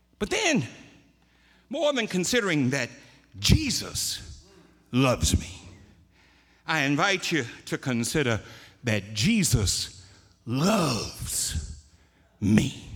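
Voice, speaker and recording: A man speaks at a very slow pace, with long, frequent pauses. His fairly high voice has vocal fry and very wide pitch swings. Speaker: preacher. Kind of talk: sermon. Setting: church.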